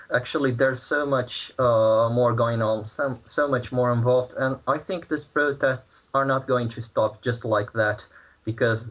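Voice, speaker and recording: A man with a Brazilian Portuguese accent speaks at a moderate pace, with a medium pitch and a somewhat breathy quality. His intonation stays fairly even, and he hardly pauses at all. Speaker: protester interviewed from Brazil. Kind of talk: news interview. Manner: halting, many fillers and repeats.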